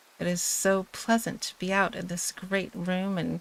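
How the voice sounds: The clip carries a natural reading voice throughout.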